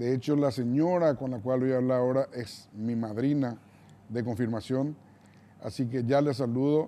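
At a moderate pace, a man talks in a dark, mellow tone with fairly even intonation. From Paraguay. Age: 60s. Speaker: TV interview host. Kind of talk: interview. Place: studio. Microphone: lapel.

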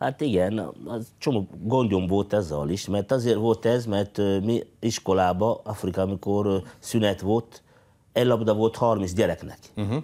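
The man's voice is fairly low, with a dark, mellow tone. He talks fairly slowly, and his pitch varies in an ordinary way. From Congo. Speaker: former footballer, engineer. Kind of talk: interview. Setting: TV studio. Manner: halting. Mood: calm, reflective. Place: studio. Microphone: lapel.

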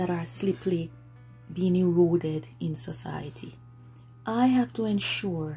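Faint music plays in the background. A woman speaks at a very slow pace with a very deep, low pitch. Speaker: parent vlogger. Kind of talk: casual vlog chat. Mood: earnest, firm. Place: home room. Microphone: phone near.

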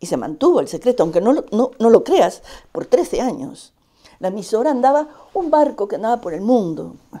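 Over a quiet background, a woman speaks at a moderate pace with a dark, mellow tone. Her pitch swings very widely. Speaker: Basque exile radio veteran; interviewee. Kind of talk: interview testimony. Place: home room. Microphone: lapel.

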